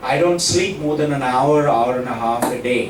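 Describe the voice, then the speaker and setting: A man speaks very slowly in a fairly high voice with ordinary pitch variation, with audible room echo and noticeable background noise. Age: 70s. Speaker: school head addressing students. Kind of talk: motivational talk to students.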